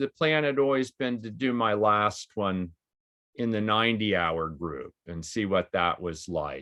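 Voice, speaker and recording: A man's voice at a moderate pace. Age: 60s. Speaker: veteran long-distance cyclist. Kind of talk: interview.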